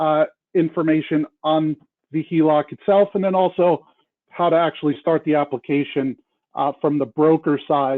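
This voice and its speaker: A man with an ordinary speaking voice talks at a moderate pace in a fairly high pitch. His intonation is fairly even and his loudness very even. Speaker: help desk manager presenting training. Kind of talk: training webinar presentation.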